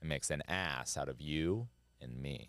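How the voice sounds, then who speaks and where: A man's animated, lively voice with vocal fry, dry and echo-free against a quiet background. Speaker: comedian podcast host. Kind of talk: casual comedy banter. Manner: animated, joking. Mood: playful, joking. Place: studio. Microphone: studio mic.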